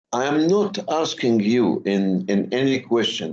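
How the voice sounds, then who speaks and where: A man at a fairly slow pace and medium pitch, lively intonation, with audible room echo. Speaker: university lecturer. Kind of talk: lecture. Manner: slow, deliberate; halting, many fillers and repetitions.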